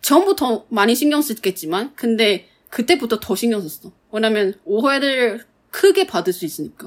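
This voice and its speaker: A woman speaks with a Mandarin Chinese accent. Her fairly high pitch makes very wide swings. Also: moderate pace. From Taiwan. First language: Mandarin Chinese (speaking Korean). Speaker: podcast co-host. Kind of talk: casual chat.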